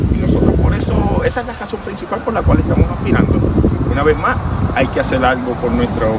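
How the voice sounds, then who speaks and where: A man's fairly quick speech, dry with no echo, over loud background noise. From Puerto Rico, Guánica area. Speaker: political candidate. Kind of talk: interview. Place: street. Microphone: handheld.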